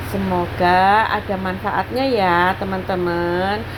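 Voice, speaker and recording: The speech moves at a very slow pace, with audible room echo and noticeable background noise. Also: woman. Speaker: housewife vlogger. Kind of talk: budgeting vlog narration. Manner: casual, chatty.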